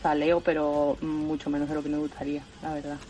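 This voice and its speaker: There is music behind this clip. Over it, a woman talks. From Spain, Seville (Andalusia). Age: 20s. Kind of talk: casual chat.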